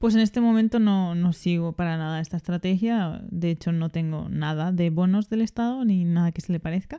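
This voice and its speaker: With a Spanish accent, a woman talks at a fairly quick pace with hardly any pauses, her fairly low pitch and dark, mellow tone captured in a dry, close sound with no echo on a very clean recording with a silent background. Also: ordinary pitch variation. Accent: Peninsular Spanish. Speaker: finance podcast host. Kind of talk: casual chat.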